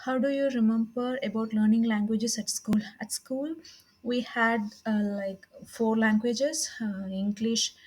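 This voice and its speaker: A woman with a South Indian accent talks at a fairly slow pace. Her voice is fairly high and somewhat breathy, with fairly even intonation. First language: Tamil. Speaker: IELTS test practitioner. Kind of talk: practice speaking test. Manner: halting.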